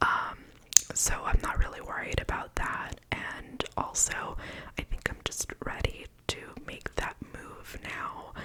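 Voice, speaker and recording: Over noticeable background noise, a woman whispers in a relaxed tone at a very slow pace. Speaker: ASMR content creator. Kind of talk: ASMR whispered Q&A talk to camera. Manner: whispered, soft, relaxed.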